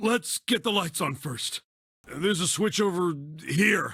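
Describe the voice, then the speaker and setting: A man puts on a raspy character voice, high-pitched and raised to project, with lively intonation at a fairly slow pace. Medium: video game. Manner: gruff, blunt.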